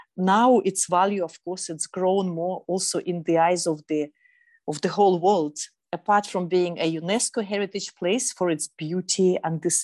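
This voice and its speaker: A woman with a Russian accent speaks with fairly even intonation in a dry, close sound with no echo. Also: quiet background. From Russia, Eastern Siberia. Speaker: sustainable fashion consultant. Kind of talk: interview.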